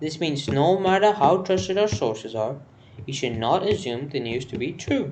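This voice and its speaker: A man with an Indian accent and very wide pitch swings. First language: Hindi. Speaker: news explainer vlogger. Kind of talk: informal explainer monologue. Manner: halting, with false starts.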